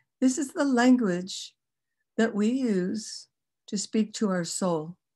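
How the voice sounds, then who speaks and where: A woman's somewhat breathy, fairly high voice with a dark, mellow tone, lively intonation and a very slow pace, against a quiet background. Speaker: kundalini yoga and chanting teacher. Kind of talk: online workshop teaching. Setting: video call.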